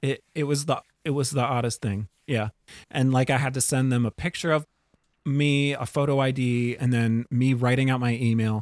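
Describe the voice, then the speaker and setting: Recorded very cleanly against a silent background with a dry, close sound and no echo, a man speaks in an unremarkable speaking voice at medium pitch, with fairly even intonation, very even loudness and a moderate pace. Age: 40s. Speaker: podcast co-host and bartender. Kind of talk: casual chat.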